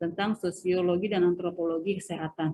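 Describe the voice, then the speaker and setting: Somewhat breathy, a woman's voice moves along at a moderate tempo. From Sundanese region, West Java, Indonesia. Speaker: university lecturer. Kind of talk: lecture. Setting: video call lecture. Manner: hesitant, many filler sounds.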